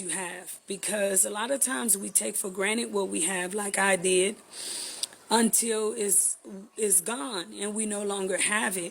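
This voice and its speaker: Amid noticeable background noise, a woman with an American accent speaks at a moderate pace and medium pitch. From Texas, Houston. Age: 30s. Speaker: vlogger. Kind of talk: channel introduction.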